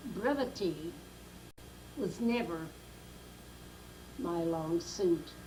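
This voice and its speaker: A woman's somewhat breathy voice with a dark, mellow tone and an American accent, plus audible room echo. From Brooklyn, New York. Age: 90s. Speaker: grandmother telling life story. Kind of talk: oral history interview.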